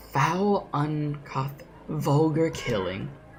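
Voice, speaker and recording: A put-on character voice at a low-to-middle pitch, with clear background noise. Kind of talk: archaic, haughty. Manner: menacing.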